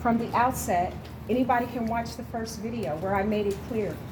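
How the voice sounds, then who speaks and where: A woman with an American accent talks at a fairly quick pace and a fairly high pitch, her intonation lively, with audible room echo and noticeable background noise. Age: 60s. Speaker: activist, nonprofit director. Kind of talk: debate.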